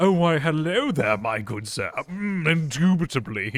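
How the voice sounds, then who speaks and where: A man's put-on character voice, fairly high in pitch, with very wide pitch swings at a moderate pace. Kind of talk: overly formal, refined. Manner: pompous.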